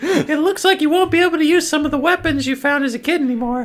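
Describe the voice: A put-on character voice, high-pitched and very fast.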